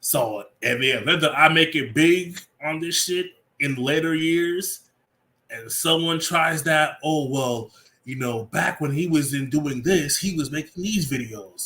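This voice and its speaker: A man speaks at a fairly slow pace in a fairly high pitch. His tone is animated, bright and sharp. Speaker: livestreamer. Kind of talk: casual livestream chat.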